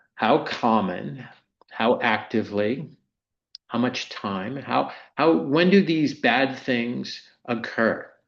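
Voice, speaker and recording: Very slow, American-accented speech with vocal fry and long, frequent pauses, in audible room echo. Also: man. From US Mid-Atlantic (Maryland). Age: 60s. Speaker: insurance executive. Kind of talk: lecture.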